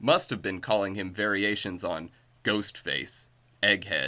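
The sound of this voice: An unforced reading voice carries the text. That is what you hear.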